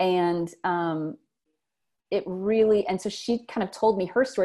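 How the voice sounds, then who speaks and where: Against a quiet background, a woman with a Louisiana accent speaks in a dark, mellow tone with ordinary pitch variation. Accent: Southern US (Louisiana). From US South, South Louisiana. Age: 40s. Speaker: writer and teacher. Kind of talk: interview, personal story. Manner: hesitant, many fillers.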